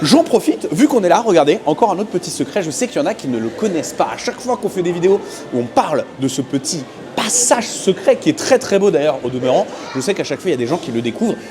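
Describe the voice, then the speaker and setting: A high-pitched man's voice in an animated tone at a very fast pace, with very wide pitch swings and noticeable background noise. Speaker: theme park vlogger. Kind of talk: walking tour vlog. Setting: outdoors in theme park. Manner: casual, animated.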